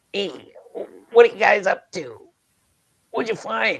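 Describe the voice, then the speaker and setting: A man in a croaky, put-on character voice at a moderate pace. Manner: curious, questioning.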